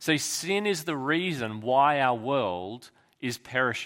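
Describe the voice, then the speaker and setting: A medium-pitched man at a very slow pace with very wide pitch swings, on a very clean recording with a silent background. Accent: Australian. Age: 30s. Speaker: pastor. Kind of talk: sermon.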